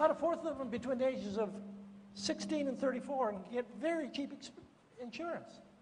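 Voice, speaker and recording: Light background noise runs under speech at a moderate pace with ordinary pitch variation. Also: man. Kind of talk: public address answering questions.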